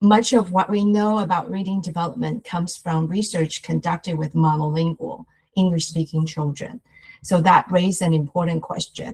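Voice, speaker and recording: This somewhat breathy voice carries a Chinese accent. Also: woman. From Taiwan. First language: Mandarin Chinese. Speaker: researcher. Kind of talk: lecture. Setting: webinar.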